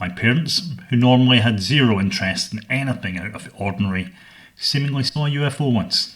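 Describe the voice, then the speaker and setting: This man speaks with a Scottish accent. His intonation is lively and his pace fairly quick. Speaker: podcast host. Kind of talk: scripted narration. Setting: home studio.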